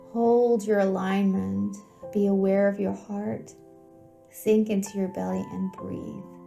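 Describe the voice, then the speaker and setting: A woman at a very slow pace over music in the background. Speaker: homeopath. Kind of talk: guided meditation. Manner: calm, soft-spoken.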